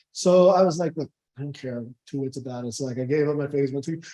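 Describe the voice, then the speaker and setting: A man with an American accent talks at a very fast pace in a dark, mellow tone. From Southern California. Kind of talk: Q&A discussion at a seminar. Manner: halting, many repeats and fillers.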